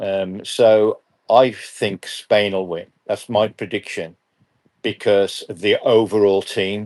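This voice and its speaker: The speaker has an English accent and a monotone, flat intonation at a very slow pace. The background is quiet. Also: man, fairly low pitch for a man. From England. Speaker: football referee and assessor. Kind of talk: live interview. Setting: live stream. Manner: halting.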